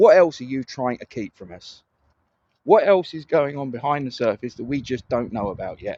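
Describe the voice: A man's medium-pitched voice at a moderate pace, with lively intonation, a slightly mellow tone and a dry, close sound with no echo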